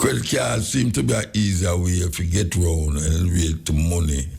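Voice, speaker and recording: In a Jamaican accent, a man speaks with a very deep, low pitch and a dark, mellow tone. His delivery is somewhat breathy and moderately paced. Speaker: dub poet, radio host. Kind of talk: radio talk show monologue.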